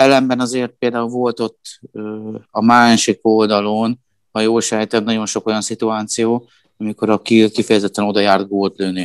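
Against a quiet background, the voice comes at a moderate pace with monotone, flat intonation and a dry, close sound with no echo. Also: man, medium pitch for a man. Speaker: handball pundit. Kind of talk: casual chat.

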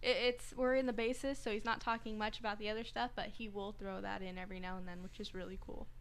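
A woman with a fairly high pitch talks at a very fast pace, with hardly any pauses. Her intonation is fairly even. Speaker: board operator and panelist, college student; panelist. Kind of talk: casual chat. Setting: studio. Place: studio. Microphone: studio mic.

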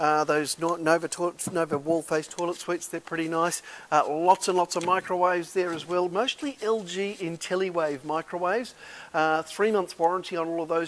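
A man's fairly high, fairly bright voice at a moderate pace with fairly even intonation

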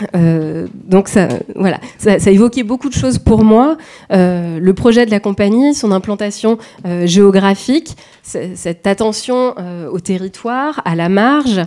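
A woman talks at a very slow pace with lively intonation. The background is quiet. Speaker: dance researcher. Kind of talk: academic presentation. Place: hall.

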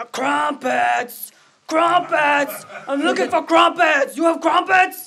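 A high-pitched, put-on character voice speaks at a fairly slow pace. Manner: eager, excited.

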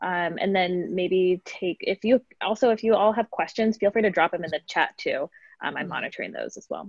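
In a quiet background with a dry sound and no echo, a woman talks with fairly even intonation but big swings in loudness. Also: moderate pace. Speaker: community manager; event moderator. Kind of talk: event moderation. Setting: video call. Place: home room. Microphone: video call.

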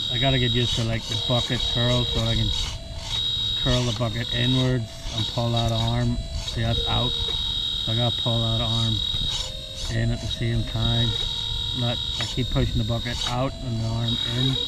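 Over loud background noise, a woman speaks with long, frequent pauses in a dry sound with no echo. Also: moderate pace. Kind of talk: casual vlog chat. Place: garden.

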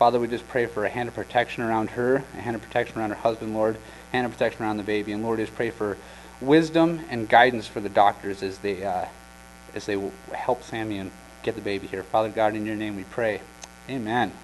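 With light background noise behind him, a man talks at a very fast pace in a fairly low pitch, keeping his intonation fairly even. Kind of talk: announcements and prayer. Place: church.

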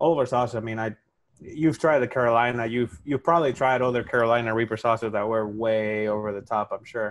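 A man speaks at a fairly quick clip with a Spanish accent. His pitch varies in an ordinary way, and the background is quiet. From Spain. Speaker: hot sauce maker. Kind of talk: casual interview. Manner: halting. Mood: friendly, enthusiastic. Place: home room. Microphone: earbuds.

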